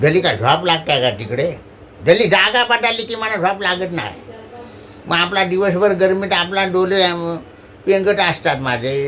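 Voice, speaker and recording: A man speaks at a high pitch. His intonation is lively. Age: old. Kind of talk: casual dialect monologue.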